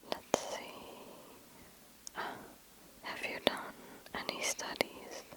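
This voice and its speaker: Whispering in a gentle tone, a woman speaks very slowly with long, frequent pauses over noticeable background noise. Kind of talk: ASMR whisper Q&A to camera. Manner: whispered, soft, gentle, slow.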